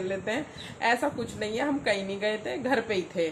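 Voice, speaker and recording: There is noticeable background noise as a woman talks. Her pace is moderate and her pitch variation ordinary. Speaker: family vlogger, mother. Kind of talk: casual vlog chat. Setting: at home.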